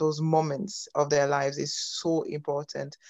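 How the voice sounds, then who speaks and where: A woman speaks at a very deep, low pitch with a dark, mellow tone. Her pace is fairly slow and her intonation monotone and flat. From France (Congolese family, born in Belgium). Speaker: youth pastor and ministry founder. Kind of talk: testimony interview. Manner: halting.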